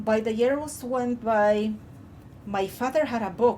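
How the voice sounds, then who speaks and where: This woman talks in an Andean accent with a dark, mellow tone. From Peru, Andean highlands. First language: Quechua. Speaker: YouTuber. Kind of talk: personal storytelling. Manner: halting.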